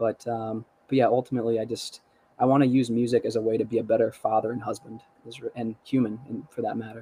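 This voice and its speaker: The delivery is very fast. Its intonation stays monotone and flat. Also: man, medium pitch for a man. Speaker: musician. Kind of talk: casual chat.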